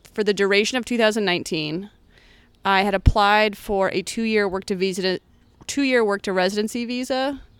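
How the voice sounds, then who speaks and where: A plain, everyday voice with an American accent and ordinary pitch variation. The recording is very clean, with a silent background. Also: woman, medium pitch for a woman, fairly quick pace. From US Midwest, Columbia, Missouri. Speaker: comedian. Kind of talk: casual chat. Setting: outdoors in a backyard by a fire.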